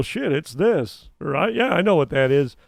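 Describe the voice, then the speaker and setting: With lively intonation, this man keeps a moderate pace. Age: 60s. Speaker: co-host, air conditioning service technician. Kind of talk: casual chat. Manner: animated.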